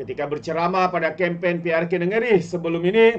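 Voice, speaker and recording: Speaking in a Malaysian accent, a man has a high pitch. He keeps a fairly slow pace and fairly even intonation. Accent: Malaysian Malay. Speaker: political commentator. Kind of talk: opinionated news commentary. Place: home room.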